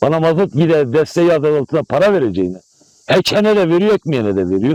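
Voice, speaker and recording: A dark, mellow tone races along at a very fast pace with very wide pitch swings. Loudness stays very even, and the sound is dry and close with no echo. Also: man, fairly high pitch for a man. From Malatya, eastern Turkey. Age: 60s. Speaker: apricot farmer. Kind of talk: news interview. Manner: animated.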